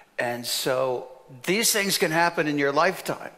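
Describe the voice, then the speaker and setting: A man at a fairly slow pace, with ordinary pitch variation. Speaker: panelist. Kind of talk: panel discussion answer. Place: stage.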